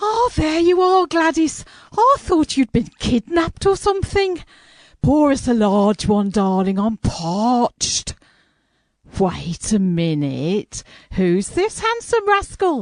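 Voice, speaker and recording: A woman's put-on character voice, high in pitch with very wide pitch swings, fairly slow, very even in loudness, dry and close with no echo. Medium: audio drama. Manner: gushing, brassy.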